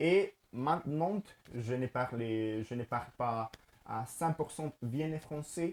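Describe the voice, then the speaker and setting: A man speaks at a very slow pace with a medium pitch. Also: ordinary pitch variation. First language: Spanish (speaking French). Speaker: language learner and teacher. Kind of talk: casual vlog talk to camera. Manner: halting, many fillers and repetitions.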